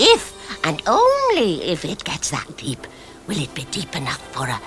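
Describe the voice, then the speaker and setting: A cartoonish character voice goes at a moderate pace while music plays clearly in the background. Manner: knowing, chatty.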